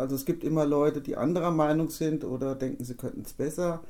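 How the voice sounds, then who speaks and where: With a very deep, low pitch and a dark, mellow tone, a woman speaks using ordinary pitch variation. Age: 50s. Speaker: local politician. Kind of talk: interview.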